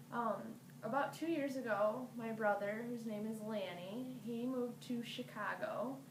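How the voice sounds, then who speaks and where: A woman with an American accent speaks fairly slowly at a fairly high pitch with ordinary pitch variation. Audible room echo is present. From Michigan, US Midwest. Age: 20s. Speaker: college student. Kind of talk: personal introduction monologue. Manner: casual, conversational with fillers.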